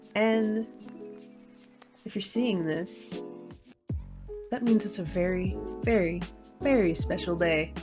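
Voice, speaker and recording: A woman speaks very slowly at a medium pitch, with long, frequent pauses and music in the background. Her tone is playful and upbeat, and her intonation is lively. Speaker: gaming video creator. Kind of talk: casual talk to camera. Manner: playful, upbeat.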